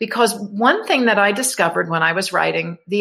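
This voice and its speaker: At a moderate pace, a woman with an American accent speaks in a bright, sharp tone with ordinary pitch variation. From New York. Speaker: author and grief educator. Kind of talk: interview.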